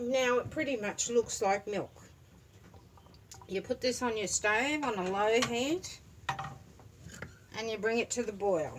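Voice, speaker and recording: Through noticeable background noise, a woman with a fairly high pitch speaks at a fairly slow pace with long, frequent pauses and ordinary pitch variation. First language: Turkish. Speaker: home cook. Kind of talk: cooking tutorial. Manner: casual, conversational.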